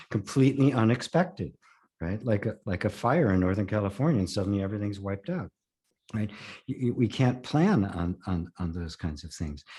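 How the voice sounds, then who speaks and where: A man speaks in a dark, mellow tone at a fairly low pitch, somewhat breathy and at a moderate pace. His intonation is lively against a quiet background. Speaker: spiritual teacher; former voice-over artist. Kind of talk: interview answer.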